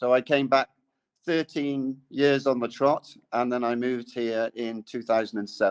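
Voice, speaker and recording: At a moderate pace and medium pitch, a man with an English accent speaks with fairly even intonation in a dry, close sound with no echo and a quiet background. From England. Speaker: independent researcher on Khmer culture. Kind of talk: podcast interview.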